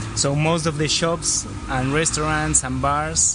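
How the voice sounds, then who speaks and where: A man with a Spanish accent speaks at a moderate pace. Audible room echo and noticeable background noise surround his voice. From Argentina, Buenos Aires. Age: 30s. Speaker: travel filmmaker. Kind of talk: interview. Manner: halting.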